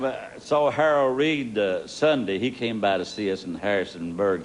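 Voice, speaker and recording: A fairly low male voice with lively intonation at a moderate pace. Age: 60s. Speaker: gospel bass singer. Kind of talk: TV interview.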